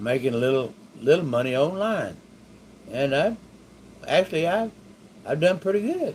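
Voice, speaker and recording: A man speaks with a Texan accent. His intonation is lively. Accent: Texan Southern US. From Texas, Waco area. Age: 60s. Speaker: stroke survivor teaching online money-making. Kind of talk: casual monologue to camera. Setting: home bedroom. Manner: halting, many fillers and restarts.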